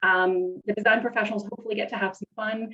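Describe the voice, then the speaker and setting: With a Canadian accent, a woman speaks with ordinary pitch variation. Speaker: event host for nonprofit. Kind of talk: virtual event hosting. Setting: video call. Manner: fast.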